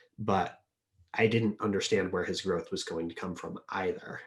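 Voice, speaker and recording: Soft-spoken and somewhat breathy, a man with a fairly low pitch talks at a moderate pace. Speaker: Diplomacy tournament player. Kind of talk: interview answer.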